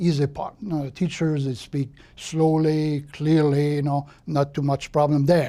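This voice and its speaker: The speaker talks at a moderate pace with a Quebec accent. The recording is very clean, with a silent background. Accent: French-Canadian accent in English. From Quebec, Trois-Rivières. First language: French. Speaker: retired translator and volunteer. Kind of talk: life story interview. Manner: hesitant, with fillers.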